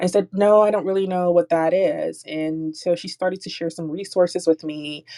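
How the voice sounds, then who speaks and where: A woman speaks at a moderate pace in a fairly low pitch with ordinary pitch variation. It is a plain, everyday voice, with a dry, close sound and no echo. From Jamaica, moved to US when young. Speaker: security engineer and nonprofit founder. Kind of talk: panel interview. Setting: audio chat room.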